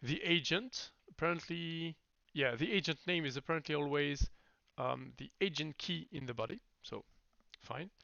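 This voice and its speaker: A man's fairly high voice with a slight French accent, a moderate pace and ordinary pitch variation. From France. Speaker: software developer live streamer. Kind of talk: live coding stream. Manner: halting.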